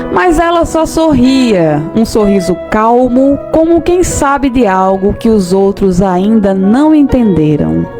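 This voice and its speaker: With music in the background, a woman with a warm tone and fairly high pitch speaks at a very slow pace, with very even loudness, very wide pitch swings and hardly any pauses. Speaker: radio presenter. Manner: warm, conversational.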